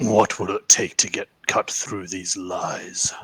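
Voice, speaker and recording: Raspy and fairly low-pitched, a man uses a put-on character voice. He speaks at a fairly slow pace. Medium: actual play. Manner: blunt.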